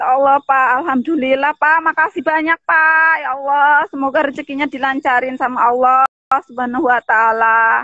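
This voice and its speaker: A woman with a high pitch talks with hardly any pauses. Her intonation is fairly even over a quiet background. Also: moderate pace, dry sound with no echo. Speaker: shop worker seeking aid; guest. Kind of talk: call-in appeal. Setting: video call. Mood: grateful, emotional. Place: garden. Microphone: video call.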